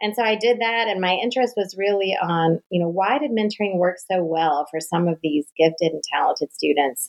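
A woman with an American accent talks at a medium pitch and a fairly quick pace, with lively intonation and hardly any pauses. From US South, North Carolina. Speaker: professor and mentoring researcher. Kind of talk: interview. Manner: fast.

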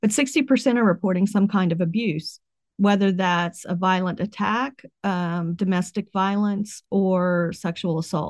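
A woman with an American accent speaks in an ordinary speaking voice at medium pitch, with ordinary pitch variation and a quiet background. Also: fairly slow pace. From West Virginia. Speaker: professor. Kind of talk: interview.

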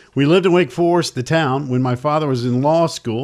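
A man with a plain, everyday voice and a fairly high pitch speaks at a moderate pace with ordinary pitch variation. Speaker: sports radio host. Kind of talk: casual sports talk show banter. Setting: studio, streamed show.

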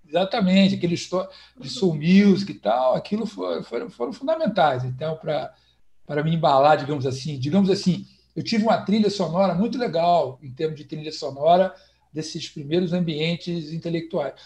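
A man with a high voice and lively intonation keeps to a moderate speed. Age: 50s. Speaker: historian. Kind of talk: online panel discussion. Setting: video call from home. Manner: halting, many repetitions.

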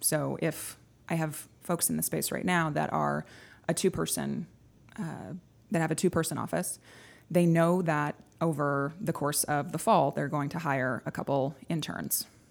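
A woman with an American accent speaks at a fairly slow pace in a very deep, low pitch with vocal fry and ordinary pitch variation, on a very clean recording with a silent background. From Texas. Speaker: coworking space operations executive. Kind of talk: interview. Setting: studio.

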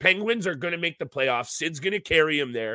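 In a dry, close recording with no echo, a man with a fairly high pitch talks fairly quickly, his bright, sharp voice animated and excited, swinging very widely in pitch. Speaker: fantasy hockey podcast host. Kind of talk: casual sports talk and betting breakdown. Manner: animated, excited.

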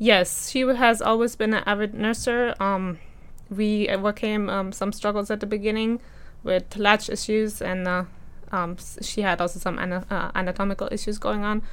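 A woman speaks at medium pitch and a moderate pace. Her intonation is monotone and flat. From Germany. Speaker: mother sharing personal story. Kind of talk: interview testimony.

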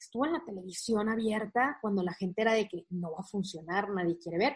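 At a fairly quick pace, a woman with a medium pitch sounds somewhat breathy, her pitch varying in an ordinary way. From Monterrey, northern Mexico. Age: young. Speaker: motivational coach and content creator. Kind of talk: interview conversation.

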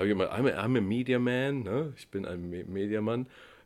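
A man with an unremarkable speaking voice uses lively intonation at a moderate pace in a very clean recording with a silent background. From East Germany. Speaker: media trading entrepreneur. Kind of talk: interview.

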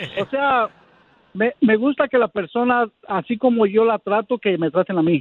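A man talks at a moderate pace in a high pitch. His pitch variation is ordinary. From Mexico City, then Long Beach, California from 14. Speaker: caller looking for a partner. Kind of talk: radio call-in chat.

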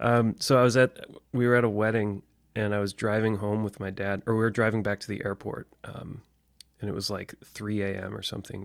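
Speaking with a General American accent, a man uses a fairly low pitch and monotone, flat intonation, in a dry, close sound with no echo. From US Midwest. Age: 30s. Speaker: podcast guest. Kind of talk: casual chat.

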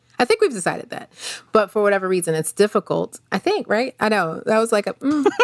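Very fast speech with lively intonation, in an American accent. The sound is dry and close, with no echo. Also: woman, fairly high pitch for a woman. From North Carolina, US. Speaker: podcast co-host, academic director. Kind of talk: casual conversational interview.

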